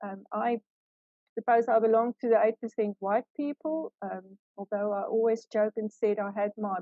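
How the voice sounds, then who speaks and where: A woman speaks in an Afrikaans South African accent. Her pitch is medium and her pace is moderate. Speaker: law professor. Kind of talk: lecture. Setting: video call. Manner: hesitant with fillers.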